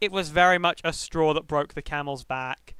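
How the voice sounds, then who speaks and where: A man's fairly high voice with fairly even intonation, recorded very cleanly against a silent background. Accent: British. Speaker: streamer. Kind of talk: casual livestream talk. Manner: halting.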